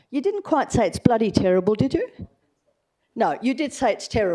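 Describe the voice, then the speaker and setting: The voice has a dark, mellow tone, heard in a very clean recording with a silent background. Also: woman. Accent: Australian. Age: 80s+. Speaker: resident making a deputation. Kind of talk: public deputation at council meeting.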